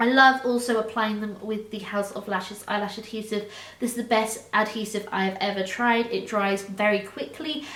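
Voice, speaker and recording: Recorded with audible room echo and noticeable background noise, a woman speaks at a moderate pace with a fairly high pitch and fairly even intonation. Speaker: beauty vlogger. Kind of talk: product review monologue.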